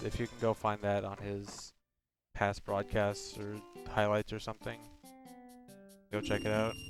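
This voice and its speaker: The speech moves at a moderate pace with monotone, flat intonation. There are long, frequent pauses and music in the background. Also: man, fairly low pitch for a man. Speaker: streamer.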